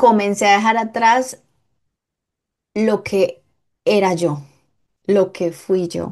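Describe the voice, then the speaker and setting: A woman speaks at a very slow pace, leaving long, frequent pauses. Her pitch is medium, with ordinary variation. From Colombia. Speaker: podcast guest, host's sister. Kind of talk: casual interview chat.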